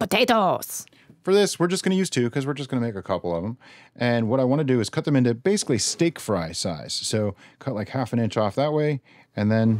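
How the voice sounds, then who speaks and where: A man talking at a very fast pace, dry sound with no echo, quiet background. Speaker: home cook host. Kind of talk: cooking tutorial. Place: kitchen.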